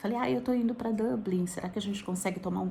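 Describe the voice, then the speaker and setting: A woman's voice at medium pitch. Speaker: vlogger. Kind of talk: casual vlog. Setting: indoors, wrapped in blanket.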